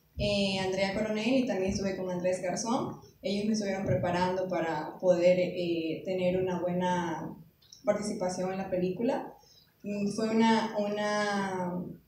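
A woman speaks with fairly even intonation amid audible room echo and light background noise. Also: fairly slow pace. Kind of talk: panel talk answer. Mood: modest, slightly nervous. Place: stage. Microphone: pa.

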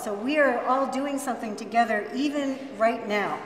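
A woman's high-pitched voice at a moderate pace, with audible room echo and light background noise. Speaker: event host. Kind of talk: ceremony address. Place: classroom. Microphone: camera far.

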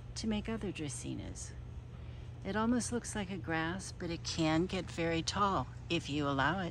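The woman's voice has a dry sound with no echo. She speaks at a fairly slow pace over light background noise. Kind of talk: casual garden tour narration. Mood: pleased, relaxed. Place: garden. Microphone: phone near.

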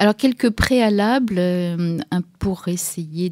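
At a very slow pace, a woman speaks with ordinary pitch variation, the sound dry with no echo and the background quiet. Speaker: radio show host from an activist collective. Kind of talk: radio commentary. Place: studio.

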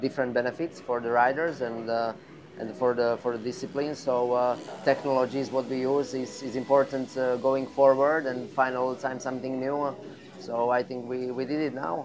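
A man speaks with fairly even intonation. Noticeable background noise sits behind his voice. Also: moderate pace. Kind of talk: interview answer. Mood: relaxed, pleased. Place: garage.

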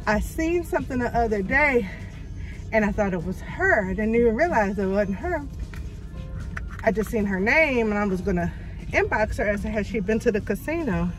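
Over clear music in the background, a woman speaks at a moderate pace with long, frequent pauses, the sound dry with no echo. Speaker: vlogger. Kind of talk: casual vlog chat. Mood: somewhat shaken, subdued. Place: car. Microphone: phone near.

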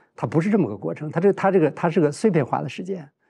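Against a quiet background, a man speaks at a very fast pace with a dark, mellow tone and vocal fry. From China, Heilongjiang. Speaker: journalism professor and family caregiver; talk show guest. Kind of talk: casual chat. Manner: halting. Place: studio. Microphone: lapel.

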